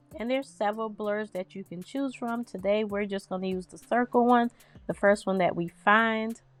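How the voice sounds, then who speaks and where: With music in the background, a woman at medium pitch speaks with fairly even intonation and big swings in loudness. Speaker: design tutorial creator. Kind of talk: tutorial. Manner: casual, chatty.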